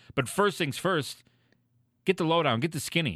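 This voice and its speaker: Over a silent background in a very clean recording, a man speaks in a bright, sharp tone with vocal fry. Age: 30s. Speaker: podcast co-host. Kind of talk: casual chat; merch and event plugs. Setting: live-streamed show.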